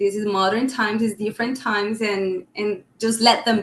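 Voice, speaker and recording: The tone is bright and sharp. Delivery moves at a moderate pace. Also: woman. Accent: Colombian. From Colombia, Cali. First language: Spanish. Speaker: real estate agent. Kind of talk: podcast interview. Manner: halting.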